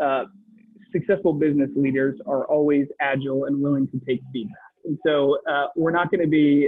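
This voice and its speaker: With an American accent, a man with a fairly high pitch talks at a moderate pace in an unremarkable speaking voice with ordinary pitch variation. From Wisconsin, US Midwest. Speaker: faith-based business entrepreneur. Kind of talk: interview. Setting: coffee shop.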